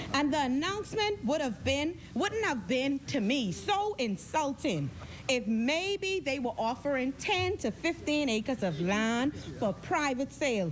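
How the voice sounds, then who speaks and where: Noticeable background noise sits behind a voice that moves at a fairly slow pace, holds a very even loudness, and swings very widely in pitch. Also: woman, high pitch for a woman. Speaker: senator. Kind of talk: parliamentary debate speech. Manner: forceful.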